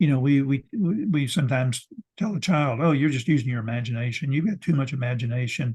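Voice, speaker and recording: This man speaks very fast in a fairly high, somewhat breathy voice, with ordinary pitch variation. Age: 80s+. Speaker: ecologist and professor. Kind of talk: interview. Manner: halting, many repetitions.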